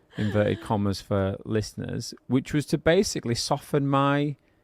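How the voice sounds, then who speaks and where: With a northern English accent, a man speaks at a moderate pace, his loudness very even and the sound dry and close with no echo. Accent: regional northern English. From northern England. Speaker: podcast co-host, business owner. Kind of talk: casual podcast chat.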